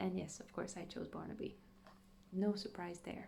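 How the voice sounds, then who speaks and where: Quiet and fairly slow, a woman speaks amid audible room echo. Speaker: gaming youtuber. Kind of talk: gameplay commentary. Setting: home at night. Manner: quiet, hushed.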